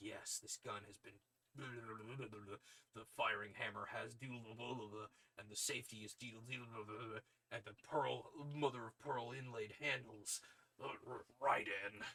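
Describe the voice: A man's raspy put-on character voice at medium pitch, delivered at a very slow pace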